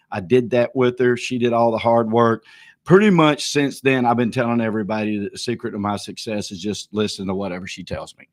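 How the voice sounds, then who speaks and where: Over a quiet background, a man with a Southern US accent talks at a fairly quick pace, his medium-pitched voice showing ordinary pitch variation. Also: big swings in loudness. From US South, small town north of Atlanta, Georgia. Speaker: real estate auctioneer. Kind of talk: tribute speech on livestream. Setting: livestream. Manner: halting.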